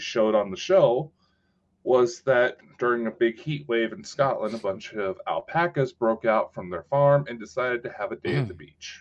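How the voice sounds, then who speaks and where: Big swings in loudness and very wide pitch swings mark this man's speech, delivered with an American accent. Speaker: podcast co-host. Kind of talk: casual banter, chat. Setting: online stream with live chat. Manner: casual, joking, swears.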